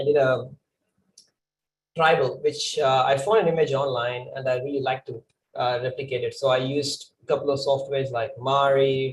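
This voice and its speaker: A man with a fairly high, somewhat breathy voice speaks at a moderate pace with fairly even intonation. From India. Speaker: 3D artist. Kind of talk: conference talk. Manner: hesitant, many fillers.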